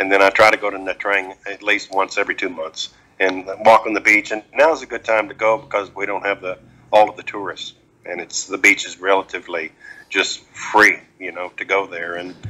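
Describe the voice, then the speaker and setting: A man talks fairly quickly at a fairly low pitch. His intonation is fairly even, but his loudness swings widely. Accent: Texan. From Texas, Dallas-Fort Worth. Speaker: retired expat. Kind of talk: casual interview.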